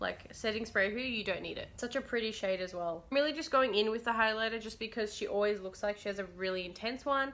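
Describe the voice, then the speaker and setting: With an Australian accent, a woman talks very fast at a fairly high pitch with ordinary pitch variation and hardly any pauses. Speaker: beauty YouTuber. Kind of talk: makeup tutorial. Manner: casual, chatty.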